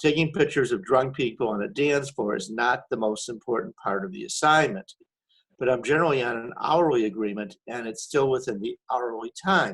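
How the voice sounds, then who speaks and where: This man has a normal speaking voice at a medium pitch, with lively intonation and a fairly quick pace. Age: 60s. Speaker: wedding photographer asking a question. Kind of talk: Q&A question in a webinar. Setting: webinar.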